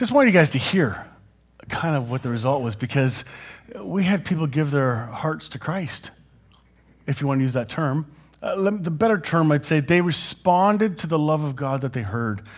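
A somewhat breathy man's voice, fairly high in pitch, with lively intonation, a moderate pace and long, frequent pauses. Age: 50s. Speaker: pastor. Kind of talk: sermon. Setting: church.

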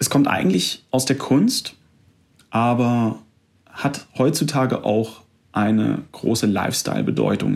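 The calm-toned voice moves at a very slow pace. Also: man. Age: 20s. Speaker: podcast host, fitness studio manager. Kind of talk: solo podcast monologue, self-help talk. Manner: calm, direct address to listener.

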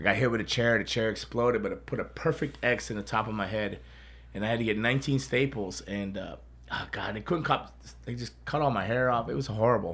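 Speaking at a very fast pace, a man uses an animated tone at a medium pitch. Vocal fry runs through his voice. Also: ordinary pitch variation. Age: 50s. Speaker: podcast host and pro wrestler. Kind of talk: casual chat. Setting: studio.

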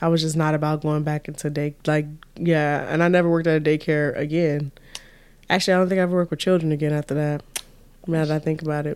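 The speech comes at a very fast pace in an animated tone. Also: woman. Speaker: podcast host. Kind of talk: casual chat. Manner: animated, laughs often.

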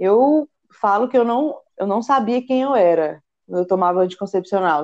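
A woman's dark, mellow, medium-pitched voice at a fairly slow pace, with ordinary pitch variation. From Goiânia, central Brazil. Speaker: rock climber. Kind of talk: casual chat.

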